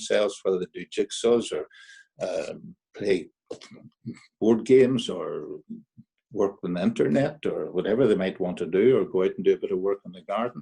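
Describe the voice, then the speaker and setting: In a Derry accent, a man speaks at a moderate pace, the sound dry and close with no echo. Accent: Northern Irish (Derry). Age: 80s+. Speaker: amateur musical society president. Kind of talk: casual chat. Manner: halting.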